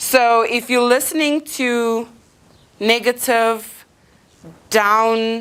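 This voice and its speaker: A woman speaks in an animated tone. Her pitch is fairly high. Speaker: motivational speaker. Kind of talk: inspirational talk. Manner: loud.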